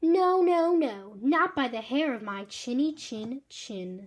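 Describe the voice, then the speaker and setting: A female-sounding put-on character voice, high in pitch, speaks at a fairly slow pace in a very clean recording with a silent background. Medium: read story. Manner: brisk, self-assured.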